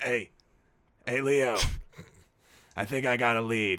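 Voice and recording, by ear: Using a put-on character voice, a man speaks raspily at a fairly slow pace in a medium pitch.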